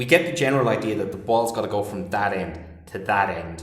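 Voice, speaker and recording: Speaking with an Irish accent, a man with a fairly low pitch talks in an animated tone at a moderate pace, with audible room echo. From Ireland. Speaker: English teacher and film director. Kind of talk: casual chat.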